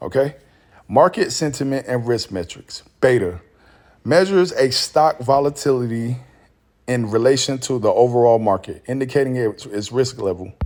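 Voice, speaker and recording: Speech moves at a moderate pace with ordinary pitch variation. The recording is very clean and the background silent. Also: man, medium pitch for a man. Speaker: stock market YouTuber. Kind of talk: reading aloud; casual chat. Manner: halting, repeats words when reading; casual, informal.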